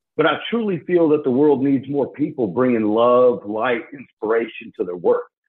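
Using a plain, everyday voice, a man at medium pitch talks at a moderate pace with lively intonation and hardly any pauses. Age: 40s. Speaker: radio host. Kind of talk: scripted radio intro and outro; casual interview.

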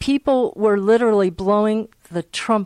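At a fairly slow pace, a woman with a normal speaking voice talks at a fairly high pitch with ordinary variation, in a very clean, dry, close recording with no echo and a silent background. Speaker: shofar dealer. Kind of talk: interview.

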